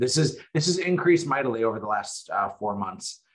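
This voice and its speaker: A man with an American accent and very wide pitch swings. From North Dakota, US Upper Midwest (Fargo). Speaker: real estate agent and coach. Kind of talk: interview.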